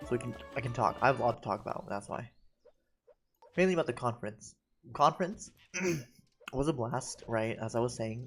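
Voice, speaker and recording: Over music in the background, the speaker goes at a fairly quick pace with ordinary pitch variation and long, frequent pauses. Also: man, medium pitch for a man. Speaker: gaming streamer; researcher. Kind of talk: live gameplay commentary; casual chat. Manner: animated.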